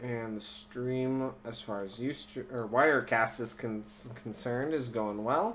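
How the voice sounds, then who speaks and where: With a slight Minnesotan accent, a man speaks very slowly in a medium-pitched voice with ordinary pitch variation, and audible room echo surrounds him. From Minnesota, US Midwest. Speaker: live stream host. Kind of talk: casual live stream commentary. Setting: live YouTube broadcast.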